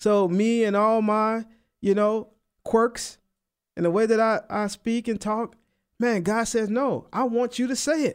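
A man in a New Orleans accent, high-pitched, at a fairly slow pace with fairly even intonation, on a very clean recording with a silent background. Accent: New Orleans Southern US. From US South, New Orleans. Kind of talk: radio sermon/Bible teaching. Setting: radio studio. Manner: casual, uses filler like man and you know.

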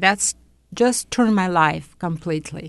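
Over a quiet background, a woman with a Russian accent speaks at a fairly low pitch. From Soviet Union, Uzbekistan and Latvia. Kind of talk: interview testimony.

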